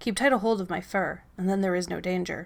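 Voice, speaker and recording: A put-on character voice, female-sounding, at middle pitch and a fairly quick pace. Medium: read story. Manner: solemn, measured.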